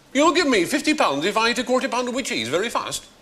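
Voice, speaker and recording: The pace is very fast. Noticeable background noise sits under the speech. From north of England.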